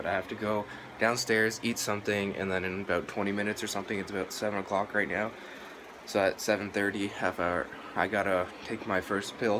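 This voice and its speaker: A man is talking at a fairly quick pace. Noticeable background noise can be heard. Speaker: vlogger. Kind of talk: casual vlog chat. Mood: nervous, a little scared. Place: home room. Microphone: phone near.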